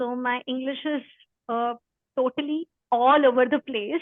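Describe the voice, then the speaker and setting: A woman speaks with an Indian accent at a fairly slow pace. Her voice is high in pitch, and her intonation stays fairly even. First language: Hindi. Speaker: spiritual study presenter. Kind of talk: talk before a reading. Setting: video call. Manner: halting.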